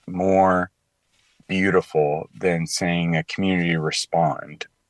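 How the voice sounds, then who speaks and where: A man speaks with a very deep, low pitch. The recording is very clean with a silent background and a dry, close sound with no echo. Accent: Southern US. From Tennessee, Clarksville. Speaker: commentator on faith and culture. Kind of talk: radio interview.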